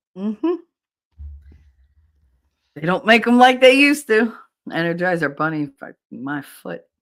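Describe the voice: The speaker talks at a moderate pace with a New Jersey accent.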